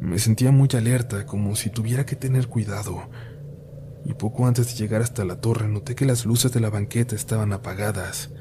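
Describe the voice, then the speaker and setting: Speaking at a medium pitch with fairly even intonation, this man has a plain, everyday voice. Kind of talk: ghost story telling, scripted narration of spooky urban legends. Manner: intimate first-person confiding, as if telling a scary story to friends.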